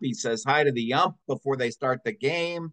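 The speaker is a man. He talks fairly slowly. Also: quiet background. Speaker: podcast co-host. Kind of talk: casual chat. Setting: video call. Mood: relaxed, chatty. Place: home room. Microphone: webcam.

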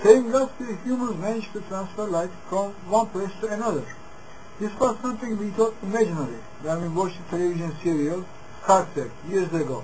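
Over noticeable background noise, a man with a high voice talks at a fairly quick pace with ordinary pitch variation. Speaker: religious commentator. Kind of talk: monologue on religion and UFOs. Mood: earnest, serious. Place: home room. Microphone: webcam.

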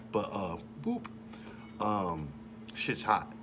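At a moderate pace, a man talks in a relaxed tone with a fairly low pitch over noticeable background noise. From Detroit, US. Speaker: rapper and vlogger; vlogger. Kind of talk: casual monologue. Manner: casual, relaxed. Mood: relaxed, opinionated.

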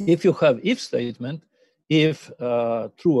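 A man talks at a fairly slow pace in a dark, mellow tone. The sound is dry with no echo, over a quiet background. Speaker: university lecturer. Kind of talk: lecture. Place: home room. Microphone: webcam.

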